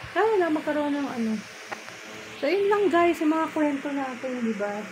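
Noticeable background noise runs under this recording. The woman's delivery is moderate in pace. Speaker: vlogger. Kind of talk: casual vlog chat. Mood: relaxed, sleepy evening talk. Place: home room. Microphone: phone near.

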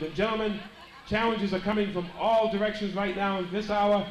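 A man with high pitch and monotone, flat intonation at a fairly quick pace, with audible room echo and light background noise. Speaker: wrestling show interviewer. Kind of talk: interview questions, announcer style. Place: hall.

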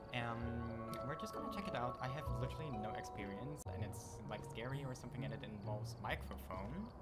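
The speaker goes at a moderate pace over loud background noise. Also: man. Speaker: gamer streamer. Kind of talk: let's play intro to camera. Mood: friendly, slightly unsure. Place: home room.

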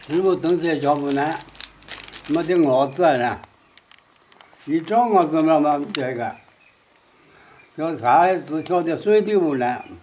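Over noticeable background noise, a man with a fairly high pitch and ordinary pitch variation speaks at a very slow pace with long, frequent pauses. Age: 80s+. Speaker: war veteran. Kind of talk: interview answer.

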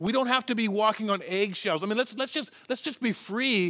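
Against a quiet background, a man with a Western Canadian accent talks at a fairly quick pace in a high-pitched voice. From Canada, Chilliwack, British Columbia; British Columbia, Canada. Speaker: pastor. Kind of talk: sermon. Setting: church. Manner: halting. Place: church.

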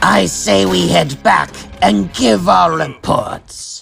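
A raspy man talks at a very slow pace and fairly low pitch while faint music plays in the background. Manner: irritable, greedy.

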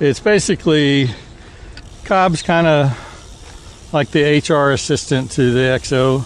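There is light background noise as a man speaks with ordinary pitch variation in a dry sound with no echo. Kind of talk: casual vlog chat. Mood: relaxed reminiscing. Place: street. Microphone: phone near.

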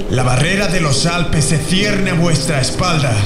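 Amid loud background noise and audible room echo, a man speaks at a very slow pace in a Castilian accent. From Spain. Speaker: voice actor. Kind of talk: epic dubbing demo, battle speech. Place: booth.

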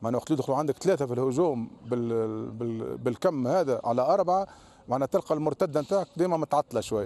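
With a dark, mellow tone, a man talks at a fairly quick pace in a dry sound with no echo. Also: lively intonation, hardly any pauses. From Tunisia. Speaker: football coach. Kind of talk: post-match interview. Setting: at the stadium after the match. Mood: calm, analytical. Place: stadium. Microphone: handheld.

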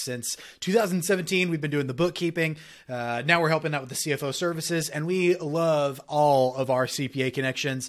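A man speaks at a moderate pace with ordinary pitch variation over a quiet background. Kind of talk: educational talking-head commentary. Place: home room. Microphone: studio mic.

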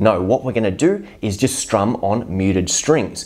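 A man speaks with a fairly low pitch. Light background noise sits behind him. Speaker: guitar teacher. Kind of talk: tutorial. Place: home room. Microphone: lapel.

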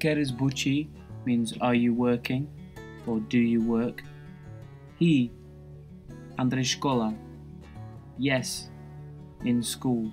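With music in the background, a man talks at a very slow pace, with long, frequent pauses. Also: medium pitch for a man, lively intonation, very even loudness. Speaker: language teacher. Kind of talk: language lesson explanation.

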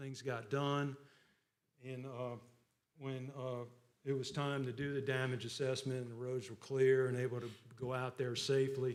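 Long, frequent pauses from a man with monotone, flat intonation, plus audible room echo. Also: medium pitch for a man, moderate pace. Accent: South Carolina. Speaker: county assessor. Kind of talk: public meeting report. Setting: county council meeting. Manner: loud; hesitant, many fillers.

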